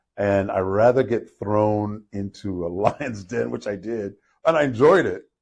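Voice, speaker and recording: With an ordinary speaking voice at medium pitch, a man speaks with lively intonation against a quiet background. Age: 60s. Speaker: entrepreneur. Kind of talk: casual chat.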